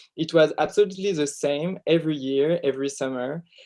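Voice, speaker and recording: A dark, mellow tone in a French accent. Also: man. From France. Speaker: film director. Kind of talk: interview. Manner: halting.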